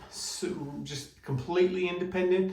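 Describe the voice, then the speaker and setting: Somewhat breathy, a man talks at a moderate pace amid audible room echo. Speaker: vlogger recovering from skin surgery. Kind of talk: personal video diary. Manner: halting, pausing to catch breath.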